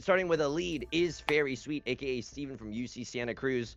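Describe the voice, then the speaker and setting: Over music in the background, a man speaks at a moderate pace in an animated tone with very wide pitch swings. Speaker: mahjong commentator. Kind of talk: live commentary. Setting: livestream. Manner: loud. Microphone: too quiet.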